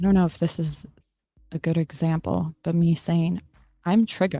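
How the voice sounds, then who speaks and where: With a dark, mellow tone and a somewhat breathy quality, a woman speaks in a very clean recording with a silent background. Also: fairly low pitch for a woman, moderate pace. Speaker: livestreamer and political commentator. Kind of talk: casual livestream chat reading comments. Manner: animated.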